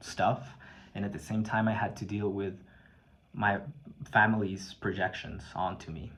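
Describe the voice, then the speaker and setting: Speaking at a fairly slow pace, a man with a fairly low pitch is heard with audible room echo. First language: not English. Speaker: video blogger. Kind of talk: personal testimony. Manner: halting, many fillers and repetitions.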